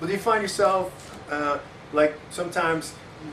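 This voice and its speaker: Speaking at a fairly quick pace with fairly even intonation, a man is heard with audible room echo and noticeable background noise. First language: not English. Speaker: interview host, language enthusiast. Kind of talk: casual interview chat. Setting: small home-made studio set. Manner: hesitant, many fillers and restarts; talks over guest, fast interjections.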